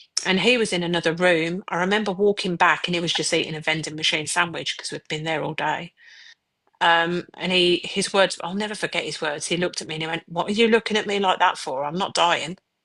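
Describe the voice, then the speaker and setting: In a Birmingham accent, a woman with a bright, sharp tone talks at a very fast pace with fairly even intonation. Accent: Birmingham accent, noticeable. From Birmingham, England. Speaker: mother of a child with cancer. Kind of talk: personal testimony in a podcast interview. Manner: hesitant, with fillers and repeats.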